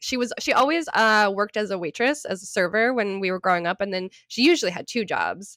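With a fairly bright tone and lively intonation, a woman talks at a fairly quick pace and a medium pitch.

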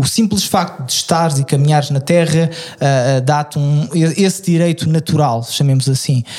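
At a moderate pace, a man talks at a fairly high pitch over noticeable background noise. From Lisbon, Portugal. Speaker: podcast co-host. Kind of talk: casual chat.

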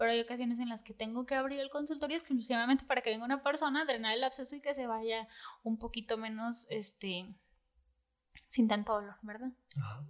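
This woman talks at a fairly quick pace in a fairly high pitch, with ordinary pitch variation. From Mexico, Puerto Vallarta. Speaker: dentist. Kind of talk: casual chat.

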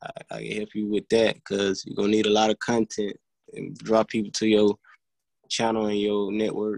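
A man with a Southern US accent, fairly low in pitch, monotone and flat, at a moderate pace, in a dry, close sound with no echo. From US South, Alabama. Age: 20s.

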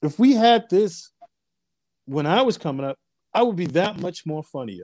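A man with a dark, mellow tone and very wide pitch swings is heard in a dry, close sound with no echo. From Long Island, New York. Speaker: comedian and comedy club owner. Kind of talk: casual interview.

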